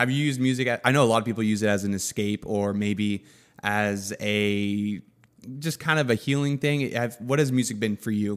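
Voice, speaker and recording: The very clean recording, with a silent background, captures a man with a normal speaking voice at medium pitch, moderate pace and ordinary pitch variation. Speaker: podcast host. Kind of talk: casual podcast interview.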